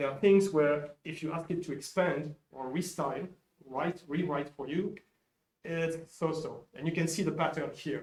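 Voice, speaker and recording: Speaking at a moderate pace, a man keeps his intonation fairly even at a fairly high pitch. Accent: French. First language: French. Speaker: software developer presenting at a conference. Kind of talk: conference talk. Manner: halting, with frequent repetitions.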